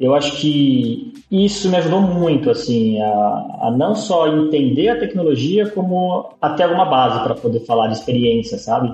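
Against noticeable background noise, a man with a fairly high pitch talks at a moderate pace, his pitch swinging very widely. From São Paulo city, East Zone. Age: 30s. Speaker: front-end developer. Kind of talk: interview. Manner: halting, many repeated words.

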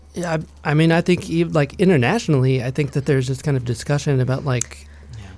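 Speaking very fast, a man with a fairly high pitch sounds somewhat breathy, with ordinary pitch variation. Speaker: climate activist. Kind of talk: casual interview chat. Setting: studio.

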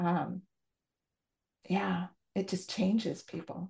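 Vocal fry from a woman at a medium pitch, speaking at a very slow pace against a quiet background. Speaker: podcast co-host. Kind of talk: casual interview conversation.

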